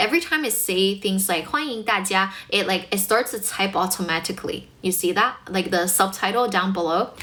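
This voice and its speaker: The clip carries noticeable background noise. A woman talks through it at a moderate pace. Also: medium pitch for a woman, ordinary pitch variation. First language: Mandarin Chinese. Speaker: English teacher and livestreamer. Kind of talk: livestream chat with viewers. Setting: livestream. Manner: animated.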